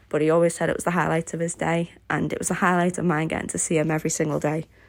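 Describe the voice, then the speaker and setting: Recorded very cleanly over a silent background, a woman with a Liverpool accent speaks very fast in a flat monotone, her fairly low voice showing vocal fry. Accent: Liverpool (Scouse) English. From Liverpool, England. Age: 20s. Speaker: craft YouTuber. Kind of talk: casual Q&A voiceover.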